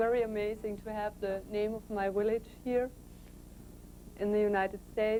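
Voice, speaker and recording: A woman's medium-pitched voice with a German accent, dark and mellow in tone, at a moderate pace. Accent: German (Franconian) accent in English. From Franconia, Bavaria, Germany. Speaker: journalist. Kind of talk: interview.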